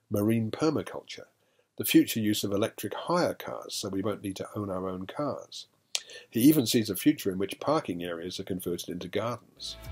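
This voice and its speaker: Someone talks at a fairly quick pace with lively intonation. Music plays in the background. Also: man, fairly low pitch for a man. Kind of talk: film review commentary. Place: studio.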